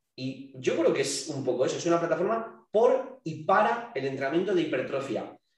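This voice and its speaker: Amid audible room echo, a man with a high pitch talks at a moderate pace using lively intonation. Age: young. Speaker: fitness coach and entrepreneur. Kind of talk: casual chat.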